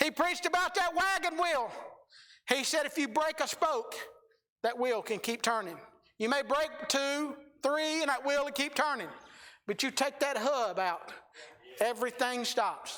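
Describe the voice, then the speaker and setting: The speaker is loud and moves at a moderate pace. Long pauses come often. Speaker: preacher. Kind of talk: sermon.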